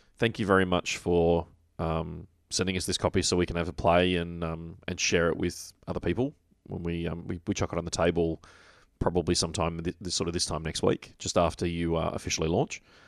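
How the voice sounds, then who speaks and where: A man with an Australian accent and a very deep, low pitch, fairly quick in pace and monotone, flat in intonation, against a quiet background. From Victoria, Australia. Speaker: podcast host. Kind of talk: casual chat.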